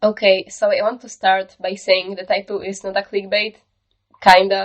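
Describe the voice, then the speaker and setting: A woman's medium-pitched voice with a non-native accent, flat and monotone, at a moderate pace, her loudness rising and falling sharply. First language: not English. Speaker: digital art YouTuber. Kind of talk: tutorial. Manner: casual.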